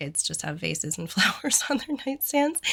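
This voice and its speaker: A woman with a bright, sharp tone and vocal fry talks at a moderate pace with lively intonation. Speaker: interior designer. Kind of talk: casual talk to camera.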